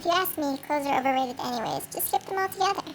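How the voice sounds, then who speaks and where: A put-on character voice, high in pitch, rattles along at a very fast pace over clear background noise. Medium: machinima.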